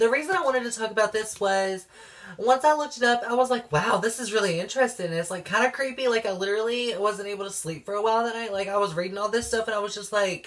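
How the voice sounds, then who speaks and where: A woman talks at a very fast pace in an animated tone. Her pitch is fairly high, with ordinary variation. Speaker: YouTuber. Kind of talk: casual vlog talk.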